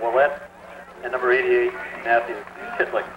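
A man is heard through loud background noise. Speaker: amateur game commentator. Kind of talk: commentary. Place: stadium. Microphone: old recording.

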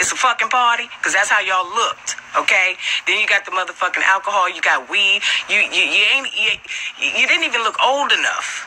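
Her delivery is fairly quick. The pitch rises and falls in an ordinary way for this woman. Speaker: livestreamer. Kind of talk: heated casual rant to viewers. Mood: angry, scolding. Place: street. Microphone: phone near.

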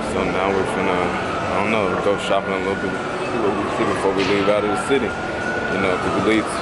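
A man talks at a medium pace while loud noise fills the background. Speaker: travel vlogger. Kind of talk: casual vlog chat. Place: street. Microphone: phone near.

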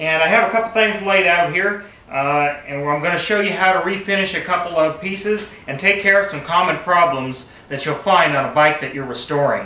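Audible room echo surrounds a man speaking with high pitch. He moves at a fairly quick pace with ordinary pitch variation. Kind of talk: tutorial. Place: garage. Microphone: camera far.

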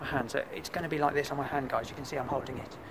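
The speech races at a very fast pace in a monotone, flat intonation. Noticeable background noise runs underneath. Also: man. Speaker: urban explorer vlogger. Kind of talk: casual vlog chat. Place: open country. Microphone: phone near.

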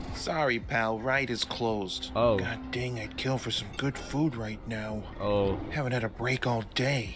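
A man uses a rumbling, put-on character voice at a medium pitch, going at a fairly slow pace with hardly any pauses. Loud background noise runs throughout. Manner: skeptical, grumbling.

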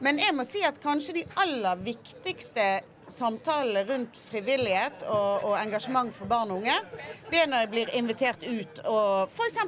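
A woman speaks with a high pitch and very wide pitch swings. Light background noise can be heard. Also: fairly slow pace. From Bergen, western Norway. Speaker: politician. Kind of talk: panel discussion. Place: boat. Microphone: handheld.

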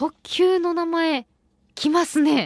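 A woman speaks in a Kansai accent. The sound is dry, with no echo. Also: quiet background. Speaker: radio host. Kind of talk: radio show talk. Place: studio.

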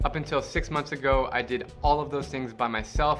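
Clear music in the background behind a man talking at a fairly quick pace. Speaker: travel vlogger. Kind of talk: casual vlog chat. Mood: excited, upbeat. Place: garden.

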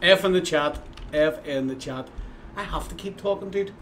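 A man with a Northern Irish accent and a high pitch talks at a moderate pace over light background noise. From Northern Ireland. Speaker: video game streamer. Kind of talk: casual live-stream commentary. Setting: live stream at home. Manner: animated. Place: home room.

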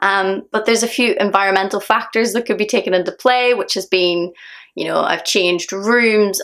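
A woman with a Northern Irish accent, medium in pitch, in a quiet background. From Northern Ireland. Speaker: singer. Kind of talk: casual talk to camera. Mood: calm, reflective, a bit earnest. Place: home room. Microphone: phone near.

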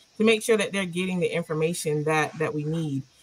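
Music plays in the background as a woman with an American accent speaks at a fairly low pitch with fairly even intonation. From South Carolina, Orangeburg. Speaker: local party official. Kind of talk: panel discussion.

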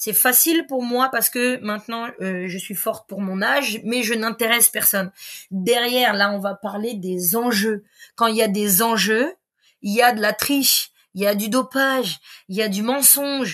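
Her tone is animated as a woman speaks at a fairly slow pace. The pitch varies in an ordinary way. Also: fairly high pitch for a woman, quiet background. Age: 40s. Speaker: sports coach. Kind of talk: casual chat. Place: home room.

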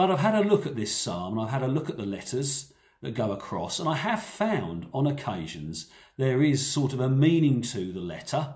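Against a quiet background, a man talks at a moderate pace in a somewhat breathy voice with very wide pitch swings. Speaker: preacher. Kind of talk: sermon. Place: home room. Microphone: phone near.

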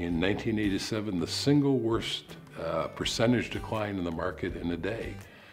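Over faint background music, a man talks at a fairly low pitch with ordinary pitch variation. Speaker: interviewee. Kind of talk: interview answer. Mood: calm, reflective, confident. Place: home room.

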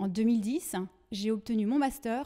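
A woman speaks with a dark, mellow tone. The background is quiet. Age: 40s. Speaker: trainer and consultant; trainer. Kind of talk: prepared self-presentation. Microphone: handheld.

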